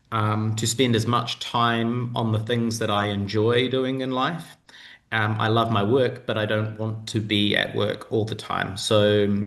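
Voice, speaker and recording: With a New Zealand accent, a man speaks at a medium pitch and a fairly slow pace. His intonation is monotone and flat, and audible room echo surrounds him. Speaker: digital nomad, content consultant. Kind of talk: interview answer on video call. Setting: video call.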